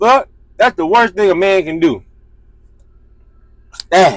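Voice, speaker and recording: Speaking at a fairly slow pace, a man uses a high pitch and an animated tone. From US South. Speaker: streamer, commentator. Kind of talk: casual commentary stream.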